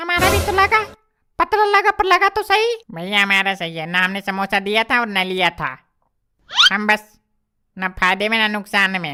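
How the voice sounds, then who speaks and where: A female-sounding cartoonish character voice, fairly high in pitch, speaks at a moderate pace. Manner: whiny, self-pitying.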